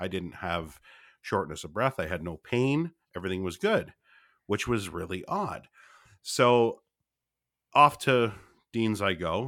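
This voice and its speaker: Against a silent background in a very clean recording, a man speaks at a moderate pace in a bright, sharp tone. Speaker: podcast co-host and patient. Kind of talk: storytelling, comedic. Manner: loud, animated.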